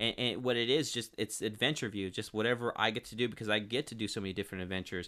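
A man with a Californian accent and a fairly low pitch speaks in an energetic tone at a very fast pace with hardly any pauses. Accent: Californian American. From Northern California (Turlock area). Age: 30s. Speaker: local TV and sports broadcaster. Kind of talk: casual interview. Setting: studio.

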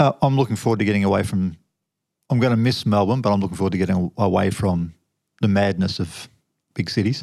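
With an Australian accent, a man speaks very fast at a fairly low pitch, with ordinary pitch variation and very even loudness. Long, frequent pauses break up his speech, and the recording is very clean with a silent background. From Western Australia, Fremantle. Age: 50s. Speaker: officer and former deep sea trawler. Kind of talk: interview testimony.

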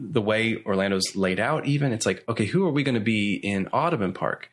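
The background is quiet. A man speaks at a fairly quick pace with lively intonation. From Northern Ireland, Coleraine. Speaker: pastor. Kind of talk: casual chat. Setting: host's home.

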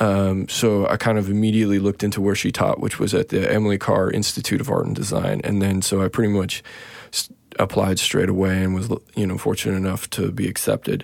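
With a western Canadian accent, a man speaks at a fairly quick pace in a fairly low pitch, his pitch varying in an ordinary way. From Saskatchewan, Canada. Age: 30s. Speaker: visual artist. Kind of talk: casual interview conversation. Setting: studio. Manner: halting, many fillers and restarts.

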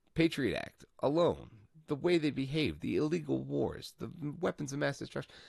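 A man with an American accent talks at a moderate pace in an animated tone. Vocal fry is audible in his voice. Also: quiet background. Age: 30s. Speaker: political podcast host. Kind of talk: solo political commentary.

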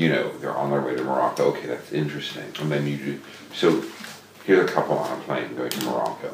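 A man with an American accent and a very deep, low pitch, very fast pace, audible room echo and noticeable background noise. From New York City, US. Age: 60s. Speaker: novelist. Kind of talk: interview conversation. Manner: halting, repeats words.

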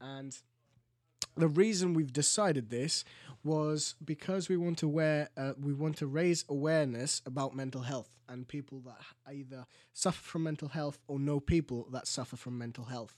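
Recorded very cleanly against a silent background, a man with a fairly high pitch speaks with big swings in loudness and ordinary pitch variation. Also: moderate pace. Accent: Greek. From Greece (Crete). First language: Greek. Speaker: podcast co-host. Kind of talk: casual chat. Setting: studio.

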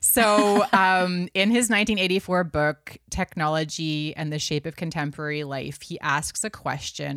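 Very slowly and with ordinary pitch variation, a woman speaks in a Canadian accent on a very clean recording with a silent background. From Canada, Vancouver. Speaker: author and digital well-being speaker. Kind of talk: interview conversation.

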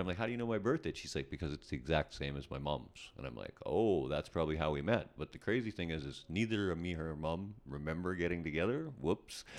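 A man with a very deep, low voice, vocal fry and lively intonation, speaking at a very fast pace with a Canadian accent. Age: 50s. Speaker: rock band drummer. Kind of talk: casual interview chat.

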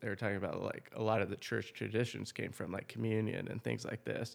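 A man with an American accent speaks at a medium pitch with vocal fry. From Washington State, US Pacific Northwest. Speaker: custom wood bat maker and farmer. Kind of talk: interview. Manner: casual, with fillers and repetitions.

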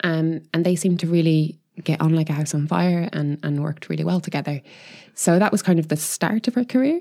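Using ordinary pitch variation, a woman with an Irish accent talks at a fairly quick pace in a fairly low voice with a dark, mellow tone. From Ireland. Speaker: chemist and crystallography scientist. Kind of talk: casual chat.

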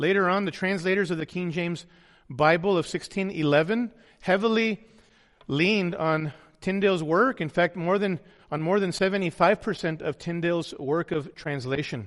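A man talks in a high voice at a moderate pace. His pitch varies in an ordinary way over a quiet background. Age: 40s. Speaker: pastor. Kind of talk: sermon.

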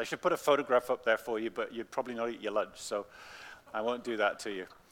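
With an English accent, a man talks at a very fast pace in a bright, sharp tone. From England. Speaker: pastor. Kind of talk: children's talk; sermon. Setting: church. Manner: animated.

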